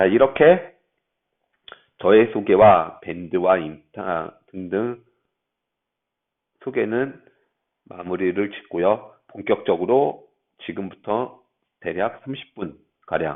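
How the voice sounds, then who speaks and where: A man speaks at a very slow pace with ordinary pitch variation. Long pauses come often. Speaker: math lecturer. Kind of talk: lecture. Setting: classroom. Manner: halting. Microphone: bluetooth mic, may echo in room.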